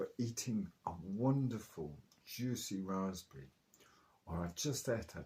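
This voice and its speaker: Somewhat breathy, lively intonation at a fairly slow pace, in a southern English accent. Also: man. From southern England, Oxfordshire/Chilterns. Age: 70s. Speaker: raw food enthusiast. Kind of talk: interview.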